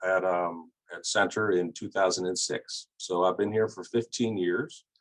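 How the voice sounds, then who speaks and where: A man speaks at a moderate pace and a fairly low pitch with fairly even intonation. The sound is dry and close, with no echo. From US Northeast, southern New Jersey. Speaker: college administrator and psychology professor. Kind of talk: video call interview. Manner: halting, many fillers and repeats.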